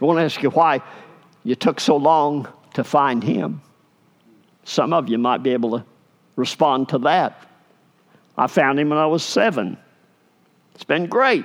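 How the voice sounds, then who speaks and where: The speaker moves at a fairly slow pace with lively intonation and long, frequent pauses. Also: man, fairly high pitch for a man. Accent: Arkansas. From US South, Arkansas. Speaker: pastor. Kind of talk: sermon. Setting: church.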